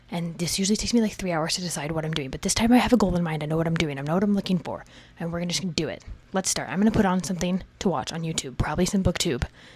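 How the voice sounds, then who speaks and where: A woman whispers at a very fast pace over noticeable background noise. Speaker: book content creator. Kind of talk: casual vlog. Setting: home library at night. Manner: whispering.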